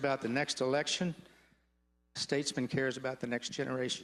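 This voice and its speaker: Speaking at a very fast pace, a man uses a fairly high pitch. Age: 70s. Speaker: state legislator. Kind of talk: farewell floor speech. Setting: legislative chamber floor. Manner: formal.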